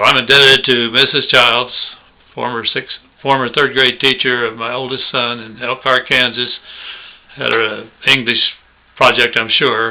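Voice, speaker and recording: A man with an American accent, his tone bright and sharp, his intonation monotone and flat. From Oklahoma, US. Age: 70s. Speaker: video blogger. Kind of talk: personal reminiscence monologue. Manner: casual, folksy.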